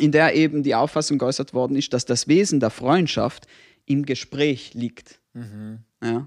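In an ordinary speaking voice, a man talks fairly slowly at a fairly high pitch with ordinary pitch variation, on a very clean recording with a silent background. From not South Tyrol. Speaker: podcast co-host. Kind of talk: casual chat.

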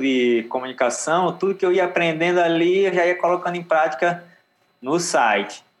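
A moderate pace with ordinary pitch variation. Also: man. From Northeast Brazil, Aracaju and Natal. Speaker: yoga instructor and surfer. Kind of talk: casual chat.

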